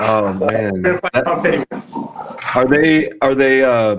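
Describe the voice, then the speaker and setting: At a fairly slow pace, a man with an American accent speaks at a medium pitch. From Southern California. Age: 40s. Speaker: podcast host. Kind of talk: casual interview.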